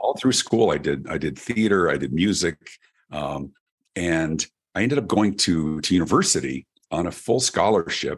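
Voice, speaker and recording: With a General American accent, a man speaks in a very deep, low pitch, his lively intonation marked by vocal fry. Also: moderate pace. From US, Colorado (Denver). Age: 50s. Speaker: keynote speaker and author. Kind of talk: podcast interview. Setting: remote interview.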